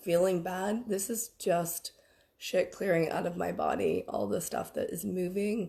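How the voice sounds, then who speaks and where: Vocal fry runs through this fairly even, moderately paced delivery. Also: woman. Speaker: spiritual business coach. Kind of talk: livestream workshop. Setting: Facebook live stream. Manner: casual, chatty.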